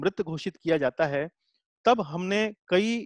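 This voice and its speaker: A high-pitched man talks at a fairly slow pace with ordinary pitch variation. The sound is dry with no echo over a quiet background. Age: 40s. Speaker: Gita teacher. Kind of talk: lecture. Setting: video call. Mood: calm explanatory. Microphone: webcam.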